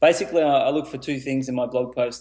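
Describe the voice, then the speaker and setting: A man with an Australian accent speaks at a fairly quick pace. His medium-pitched voice is monotone and flat. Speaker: teacher, author, entrepreneur. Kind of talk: podcast interview answer.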